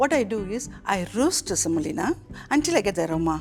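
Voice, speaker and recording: A woman speaks at a moderate pace in a medium pitch, her intonation lively, with music playing in the background. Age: 60s. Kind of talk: tutorial.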